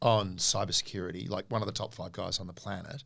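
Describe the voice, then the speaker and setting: Speaking at a fairly quick pace with an Australian accent, a man shows ordinary pitch variation on a very clean recording with a silent background. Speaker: podcast co-host, comedian and former intelligence officer. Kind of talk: interview. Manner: fast; animated.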